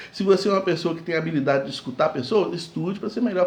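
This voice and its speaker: Noticeable background noise and audible room echo surround a man whose high-pitched voice has lively intonation. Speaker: pastor. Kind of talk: sermon. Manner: fast.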